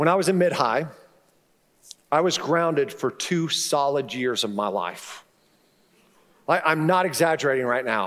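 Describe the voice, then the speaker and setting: There is audible room echo around this man's fairly high pitch. He keeps a moderate pace with long, frequent pauses. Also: lively intonation. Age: 50s. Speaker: pastor. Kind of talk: sermon.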